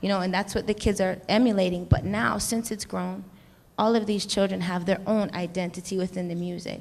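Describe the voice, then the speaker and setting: A woman with an American accent uses an ordinary speaking voice at medium pitch, her intonation fairly even against a quiet background. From United States. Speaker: hip-hop artist. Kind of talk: panel discussion.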